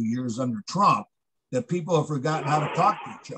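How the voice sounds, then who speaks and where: A man with an American accent talks at a fairly high pitch with ordinary pitch variation. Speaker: author and campaign trainer. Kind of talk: casual chat. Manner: fast; informal.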